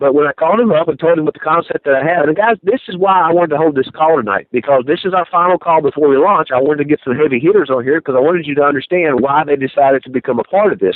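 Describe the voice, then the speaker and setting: With noticeable background noise behind him, a man rushes at a very fast pace, with hardly any pauses and a fairly high pitch. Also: ordinary pitch variation. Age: 40s. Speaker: network marketing conference call host. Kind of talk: conference call interview. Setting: phone conference call.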